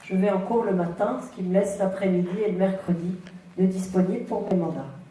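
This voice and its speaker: Over noticeable background noise and audible room echo, a woman at medium pitch talks at a fairly quick pace with fairly even intonation. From western France, near Clisson (Loire-Atlantique). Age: 50s. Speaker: local politician, mayoral candidate. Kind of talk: political debate self-presentation.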